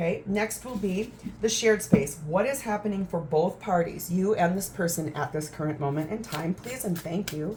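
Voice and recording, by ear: At a moderate pace, a woman speaks with a fairly low pitch and ordinary pitch variation. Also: slightly mellow tone.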